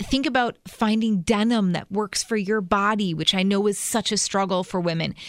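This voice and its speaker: An unremarkable speaking voice at a moderate pace, with fairly even intonation and hardly any pauses, on a very clean recording with a silent background. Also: woman, medium pitch for a woman. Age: 40s. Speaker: fashion stylist and blogger. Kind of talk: casual chat.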